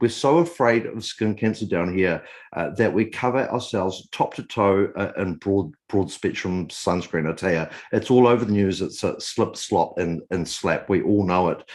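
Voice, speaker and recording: With a New Zealand accent, a man speaks at a moderate pace in a fairly low pitch with ordinary pitch variation, against a quiet background. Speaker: podcast host. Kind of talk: interview.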